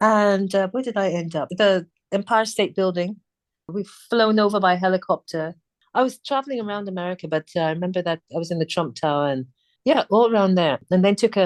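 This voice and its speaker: With a British accent, a woman speaks at a medium pitch and a fairly quick pace, her pitch varying in an ordinary way, the sound dry and close with no echo over a quiet background. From England. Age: 60s. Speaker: singer. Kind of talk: interview chat.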